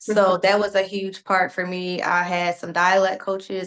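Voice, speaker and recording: Her intonation monotone and flat, a woman speaks fairly slowly at a medium pitch. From Philadelphia, US Northeast. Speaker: actor. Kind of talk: press interview.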